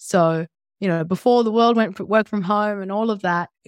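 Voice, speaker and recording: A woman with an Australian accent speaks at a moderate pace with ordinary pitch variation. The recording is very clean and dry, close with no echo, over a silent background. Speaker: entrepreneur, former teacher. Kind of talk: interview.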